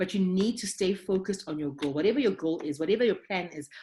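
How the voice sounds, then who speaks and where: Somewhat breathy, this voice carries a dark and mellow tone. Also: woman. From Zimbabwe, Harare. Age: 40s. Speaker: doctor. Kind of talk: interview.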